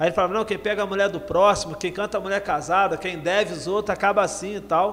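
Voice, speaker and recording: Over noticeable background noise, a man with a high voice races along at a very fast pace, hardly pausing, his intonation fairly even. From Rio de Janeiro, Baixada Fluminense. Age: 40s. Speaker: rapper and anti-drug speaker. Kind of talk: casual interview.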